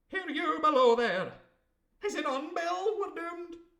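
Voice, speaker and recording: Someone uses a put-on character voice at a moderate pace. An echo can be heard. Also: man, extremely high pitch for a man. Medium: read story. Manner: blunt, matter-of-fact.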